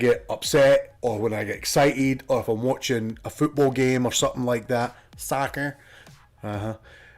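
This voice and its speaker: Medium pitch from a man at a moderate pace, ordinary pitch variation, music in the background. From Scotland. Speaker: gaming streamer. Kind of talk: casual gameplay commentary.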